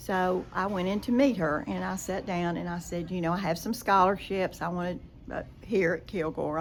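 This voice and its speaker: A woman with an East Texas accent talks at a moderate pace in a fairly low pitch, with vocal fry and ordinary pitch variation. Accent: East Texas Southern. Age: 80s+. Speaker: former college dancer and business owner. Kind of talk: interview. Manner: animated.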